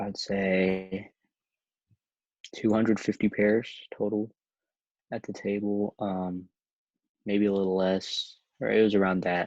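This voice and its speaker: The pace is fairly slow and the intonation monotone and flat. Long pauses come often. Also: man, fairly low pitch for a man. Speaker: sneaker reseller and podcast co-host. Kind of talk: casual podcast chat. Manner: halting, many fillers.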